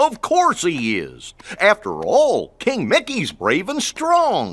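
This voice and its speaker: At a very slow pace, the speaker puts on a character voice with a fairly high pitch. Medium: video game.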